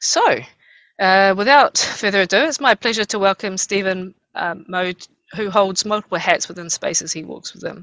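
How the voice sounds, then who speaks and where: With a New Zealand accent, a woman speaks at a moderate pace and medium pitch, with ordinary pitch variation and big swings in loudness. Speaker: university program lead moderating an interview. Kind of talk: moderated interview with opening prayer in Māori. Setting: online video event. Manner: hesitant, many fillers.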